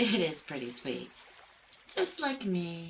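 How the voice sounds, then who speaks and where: A put-on character voice at a fairly slow pace, full of very wide pitch swings. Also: woman, fairly low pitch for a woman. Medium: solo performance. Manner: chatty, folksy, teasing.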